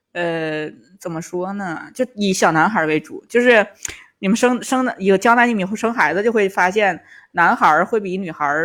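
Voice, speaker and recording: A woman with a Tangshan accent at a moderate pace, medium pitch and ordinary pitch variation, in a very clean recording with a silent background. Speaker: stand-up comedian and former private tutor. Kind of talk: casual chat.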